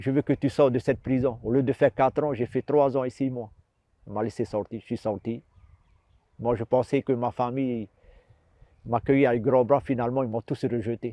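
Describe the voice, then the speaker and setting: A man's medium-pitched voice at a fairly quick pace, fairly even in intonation, with long, frequent pauses. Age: 60s. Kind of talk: testimony. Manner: halting, repetitive.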